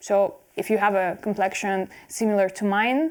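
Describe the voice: The tone is clear and smooth. The pace is moderate. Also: woman.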